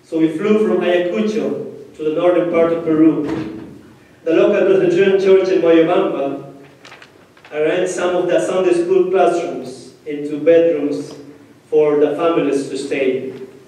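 A man with a high-pitched voice speaks in a room with strong echo. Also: ordinary pitch variation. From Peru, Ayacucho region. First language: Spanish. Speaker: pastor. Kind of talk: sermon. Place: church.

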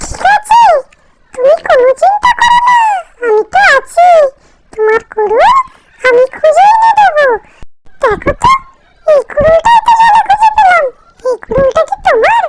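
The voice is a cartoonish character voice with an extremely high pitch. It moves along at a moderate pace. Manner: warm, motherly.

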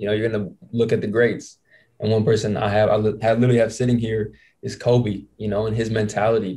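A man's dark, mellow, somewhat breathy voice with an American accent, very fast pace and monotone, flat intonation. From Indiana. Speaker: podcast host and basketball player; podcast host. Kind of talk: casual chat. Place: home room. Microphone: handheld.

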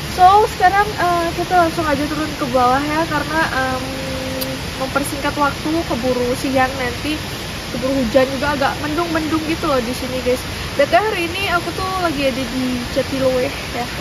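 Amid loud background noise, the speech moves at a fairly quick pace with ordinary pitch variation. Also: woman. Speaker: travel vlogger. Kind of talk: casual vlog chat. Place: forest.

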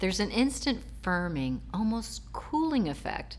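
At a moderate pace, a woman's voice shows vocal fry and very wide pitch swings. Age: 50s. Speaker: nurse practitioner. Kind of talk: testimonial for skincare product. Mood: warm, pleased. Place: home room.

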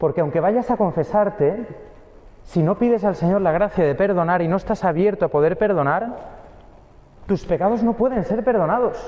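A man's high voice at a moderate pace, with lively intonation and a dark, mellow tone.

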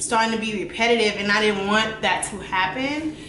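A woman speaks with ordinary pitch variation amid audible room echo and light background noise. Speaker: beauty vlogger. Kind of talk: casual vlog chat. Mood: reflective, slightly apologetic. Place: home room. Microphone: camera far.

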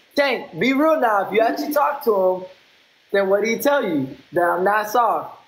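Within audible room echo, a man with a high pitch speaks in an animated tone with very wide pitch swings. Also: moderate pace. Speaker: live streamer. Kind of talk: trash-talk live stream battle. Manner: animated, taunting. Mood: confrontational, taunting. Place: home room. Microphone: phone near.

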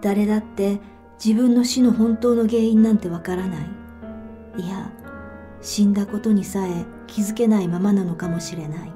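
Long, frequent pauses break up fairly even intonation, with music playing in the background. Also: woman, medium pitch for a woman, moderate pace. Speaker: author reading her own fiction; audiobook narrator. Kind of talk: literary short story reading (audiobook).

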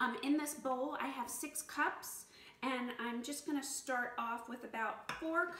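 A woman speaks at a high pitch, fairly slowly, with ordinary pitch variation. Room echo can be heard. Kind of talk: tutorial. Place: kitchen. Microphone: camera far.

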